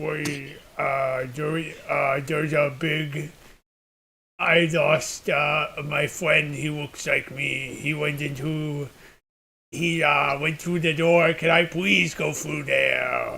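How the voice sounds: A man puts on a raspy character voice with a fairly high pitch. He talks at a very slow pace.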